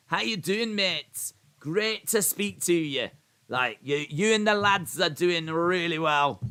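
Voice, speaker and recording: In a put-on character voice, a man speaks with a Scottish accent at a high pitch. His delivery is shaky and fairly slow. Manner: cheery, encouraging.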